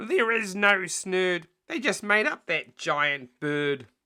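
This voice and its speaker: Put-on character voice from a man, high-pitched with lively intonation, at a very slow pace. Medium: read story.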